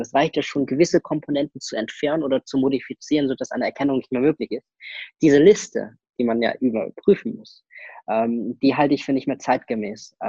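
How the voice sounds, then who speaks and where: The man's voice sits fairly high and has a dark, mellow tone, with ordinary pitch variation. He talks at a fairly quick pace, and the sound is dry and close with no echo. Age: young. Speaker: IT security consultant. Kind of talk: interview. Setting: video call.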